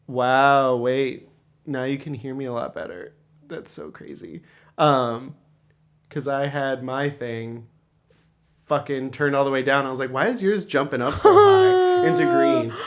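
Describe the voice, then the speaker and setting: The speaker pauses long and often, with big swings in loudness. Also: man. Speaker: podcast co-host. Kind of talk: casual chat. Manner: fast.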